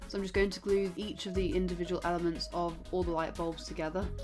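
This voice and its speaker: Talking at a very fast pace, a woman is heard with music in the background. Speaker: card maker and crafter. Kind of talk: craft tutorial voice-over.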